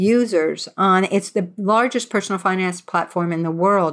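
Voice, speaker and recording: At a moderate pace, a woman with a medium pitch uses an ordinary speaking voice in a very clean recording with a silent background. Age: 60s. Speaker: journalist and author. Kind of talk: interview.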